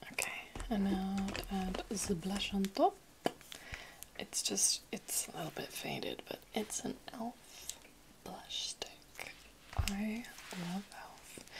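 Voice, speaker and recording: Whispering fairly slowly, a woman leaves long, frequent pauses. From London. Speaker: ASMR content creator. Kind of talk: ASMR roleplay, chatty makeup session. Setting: close-mic home recording. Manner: soft-spoken, whispered, friendly. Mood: cheerful, excited. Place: home room. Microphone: studio mic.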